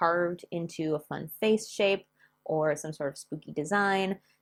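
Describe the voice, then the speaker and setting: A woman with an American accent talks at a fairly low pitch and a moderate pace. Her intonation is fairly even, and the recording is very clean with a silent background. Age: 30s. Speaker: history and crafts YouTuber. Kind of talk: casual educational vlog with story reading.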